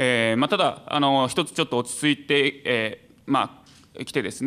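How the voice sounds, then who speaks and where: An unremarkable speaking voice with ordinary pitch variation. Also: man. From Saitama, Japan. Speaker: venture support organization head; panelist. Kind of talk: panel discussion. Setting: stage with audience. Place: hall. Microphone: podium.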